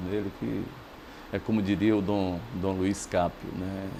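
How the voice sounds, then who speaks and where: A man with very deep, low pitch, fairly even intonation and a fairly slow pace. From Bahia, Brazil. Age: 60s. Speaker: journalist. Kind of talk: interview.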